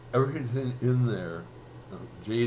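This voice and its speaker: A man talks at a moderate pace in a medium pitch. There is audible room echo. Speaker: vlogger and self-published writer. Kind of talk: casual vlog monologue. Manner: halting, many fillers.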